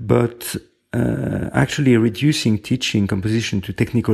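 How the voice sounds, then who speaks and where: In a very clean recording with a silent background, a man with a French accent speaks at a moderate pace, using ordinary pitch variation and a dark, mellow tone. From France. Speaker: composer and music professor. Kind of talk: interview. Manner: halting.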